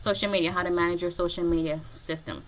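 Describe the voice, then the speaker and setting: A woman's bright, sharp voice, fairly low in pitch, at a fairly quick pace. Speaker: online business coach and vlogger. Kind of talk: solo video tutorial. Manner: fast.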